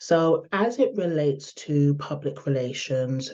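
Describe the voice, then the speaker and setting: Against a quiet background, a woman with a London accent speaks at a very deep, low pitch in a dark, mellow tone. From London, England. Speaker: public relations expert, speaker. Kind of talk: online summit talk. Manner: hesitant, many fillers.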